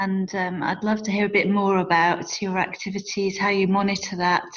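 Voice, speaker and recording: At a medium pitch, a woman speaks with monotone, flat intonation. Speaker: webinar participant asking question. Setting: video call.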